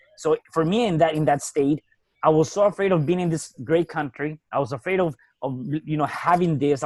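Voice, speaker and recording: Dry and close with no echo, the speaker talks at a fairly quick pace with a Spanish accent and ordinary pitch variation. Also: man. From Mexico City. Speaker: real estate entrepreneur and author. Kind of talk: podcast interview.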